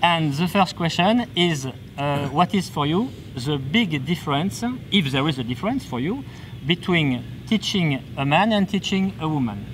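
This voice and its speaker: A man speaks with a French accent at a fairly high pitch. His intonation is lively. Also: moderate pace. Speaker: interviewer. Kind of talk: interview. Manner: halting.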